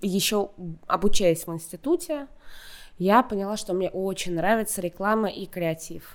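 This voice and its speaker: Recorded very cleanly with a silent background, a woman speaks in a dark, mellow tone. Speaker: content director at a video platform. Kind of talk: casual interview.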